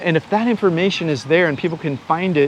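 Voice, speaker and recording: There is noticeable background noise as a man talks with an American accent. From United States. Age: 60s. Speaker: YouTuber and online course seller. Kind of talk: interview answer, casual explanation. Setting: outdoors on a beach. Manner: halting, many fillers and restarts.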